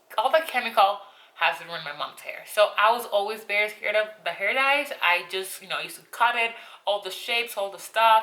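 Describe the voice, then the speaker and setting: A woman speaks with a Spanish accent at a fairly quick pace, her fairly high pitch showing ordinary variation. Her loudness swings widely. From Colombia, coastal region. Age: 20s. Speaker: beauty vlogger. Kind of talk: casual vlog talk. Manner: talkative, rambling.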